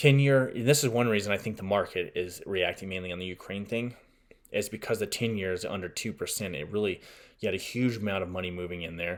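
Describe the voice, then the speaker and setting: On a very clean recording with a silent background, a man talks at a fairly quick pace with a fairly low pitch and ordinary pitch variation. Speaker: political podcast host. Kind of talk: solo podcast commentary. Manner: fast.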